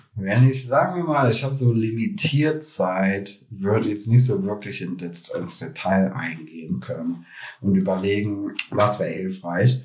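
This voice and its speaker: Fairly slow, somewhat breathy delivery with lively intonation. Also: man, fairly low pitch for a man. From Germany, Krefeld (North Rhine-Westphalia). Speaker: tech marketing specialist. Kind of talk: interview. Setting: in person.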